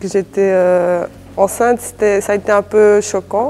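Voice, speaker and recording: A woman's medium-pitched voice carries a dark, mellow tone and monotone, flat intonation. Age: 20s. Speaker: young mother. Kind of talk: testimony. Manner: halting.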